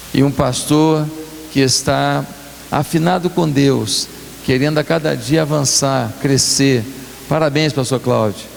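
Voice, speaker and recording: Fairly slow speech from a man at a fairly high pitch, ordinary pitch variation, audible room echo and noticeable background noise. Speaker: guest pastor. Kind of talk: sermon. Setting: church.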